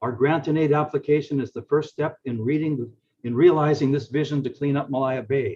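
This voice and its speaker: A man speaks at a fairly high pitch in a somewhat breathy voice. His pace is moderate and his intonation fairly even. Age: 70s. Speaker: community association representative. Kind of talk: prepared testimony.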